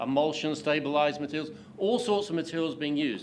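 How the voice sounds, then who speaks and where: A man talks in a space with audible room echo. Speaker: pavement engineering expert, invited speaker. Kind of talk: lecture. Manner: hesitant, many fillers.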